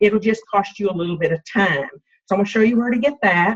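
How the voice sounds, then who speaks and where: The woman's voice is somewhat breathy. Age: 60s. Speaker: health coach. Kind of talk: team coaching call.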